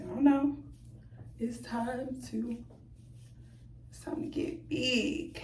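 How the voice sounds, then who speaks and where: A woman with an American accent speaks at a fairly high pitch. Audible room echo is present. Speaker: hair vlogger. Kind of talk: tutorial. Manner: animated.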